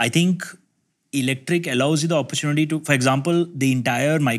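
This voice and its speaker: Speech comes very fast. Behind it, all is quiet. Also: man. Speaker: guest. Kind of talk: discussion answer. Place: meeting room. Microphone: lapel.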